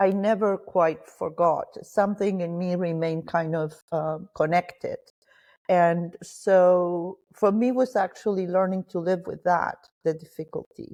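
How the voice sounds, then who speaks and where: Her tone dark and mellow, a woman speaks at a fairly slow pace with fairly even intonation over a quiet background. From Argentina, Cordoba province. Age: 60s. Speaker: spiritual mentor. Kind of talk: interview.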